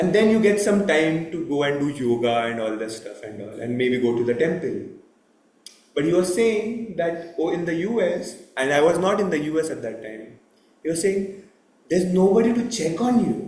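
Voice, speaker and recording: A man talks loudly at a moderate pace, his voice high for a man and swinging very widely in pitch. Audible room echo surrounds him. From India. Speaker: temple lecturer. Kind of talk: religious talk.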